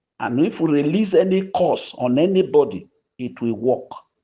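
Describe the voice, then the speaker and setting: The man's voice has a dark, mellow tone and a fairly high pitch. He keeps a moderate pace against a quiet background. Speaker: online grant update channel host. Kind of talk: community voice note appeal. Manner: soft-spoken; preachy, exhortative.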